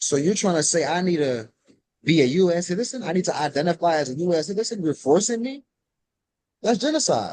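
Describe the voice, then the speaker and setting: A man speaks at a very fast pace in a high pitch, his intonation lively. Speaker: sovereign citizen law teacher. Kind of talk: group call Q and A. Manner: calm, not loud.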